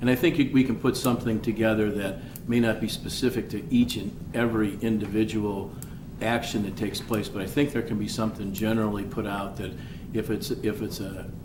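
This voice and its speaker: There is audible room echo around this man. He talks at a fairly quick pace with a fairly low pitch. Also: fairly even intonation. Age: 60s. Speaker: mayor. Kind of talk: city council meeting discussion. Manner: halting.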